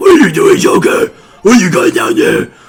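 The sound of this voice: A man puts on a gruff, gravelly character voice at an extremely high pitch. He talks at a fairly quick pace.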